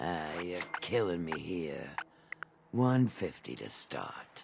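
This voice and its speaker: Putting on a character voice, a man speaks very slowly at a very deep, low pitch. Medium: video game. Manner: smooth, wheedling.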